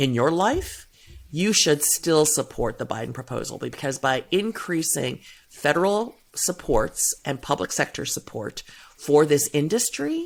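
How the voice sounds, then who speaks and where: With an American accent, a woman talks at a fairly slow pace with very wide pitch swings, in a very clean recording with a silent background. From US Midwest, suburban Cleveland, Ohio. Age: 60s. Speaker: gender equality and caregiving policy advocate. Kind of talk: podcast interview.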